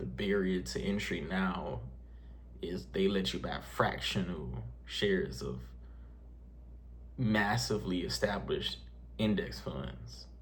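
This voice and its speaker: With audible room echo, a man with a very deep, low voice and vocal fry speaks very slowly, his pitch swinging very widely between long, frequent pauses. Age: 20s. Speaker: personal finance youtuber. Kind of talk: casual vlog talk to camera. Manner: halting, many fillers; unscripted, conversational.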